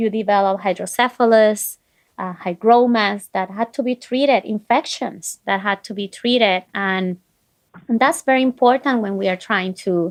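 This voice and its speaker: Woman's fairly high-pitched voice with ordinary pitch variation at a moderate pace over a quiet background. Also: dry, close sound with no echo. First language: not English. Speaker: physician. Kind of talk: interview.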